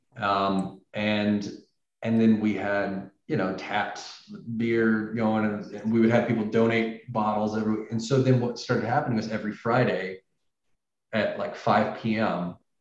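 A man with an American accent speaks at a fairly slow pace in a fairly low voice with monotone, flat intonation and audible room echo. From US South, Tennessee. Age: 30s. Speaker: animator. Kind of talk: interview. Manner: hesitant, with many fillers.

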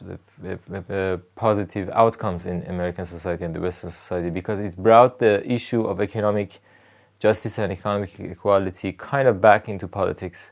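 Fairly quick speech in a Persian accent moves through big swings in loudness. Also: man. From Iran (Rasht, northern Iran). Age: 30s. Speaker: political activist. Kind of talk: interview. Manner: halting, many fillers.

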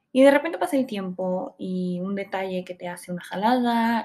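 This woman's tone is dark and mellow. Her pitch sits in the medium range. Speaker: podcast host. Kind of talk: solo self-help podcast. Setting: home recording. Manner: fast.

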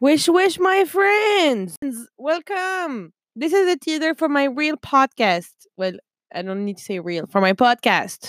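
A woman with a French accent speaks fairly slowly in a high voice with very wide pitch swings, heard in a dry, close sound with no echo. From France. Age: 20s. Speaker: podcaster. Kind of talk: casual monologue. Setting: at home desk. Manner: chatty, playful.

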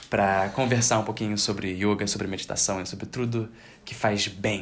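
This man talks at a moderate pace, his fairly low pitch held in fairly even intonation. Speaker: podcast host and yoga teacher. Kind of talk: casual interview chat. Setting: yoga studio, Instagram live.

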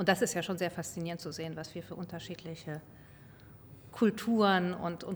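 Fairly low in pitch, a woman talks with vocal fry. Her pace is fairly quick and her intonation fairly even. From grew up abroad, diplomat's child. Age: 40s. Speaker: car company executive. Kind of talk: interview. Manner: halting.

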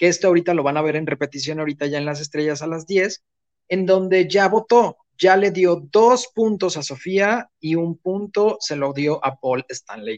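A man with a high voice talks with ordinary pitch variation in a dry, close sound with no echo. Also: moderate pace. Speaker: entertainment commentator. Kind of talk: casual chat.

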